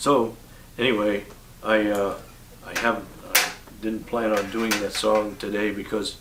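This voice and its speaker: Through noticeable background noise and audible room echo, a man speaks fairly slowly in a flat monotone, with long, frequent pauses. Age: 80s+. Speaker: singer-songwriter. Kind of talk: casual interview with guitar demonstration. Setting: home bungalow. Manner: halting, many fillers.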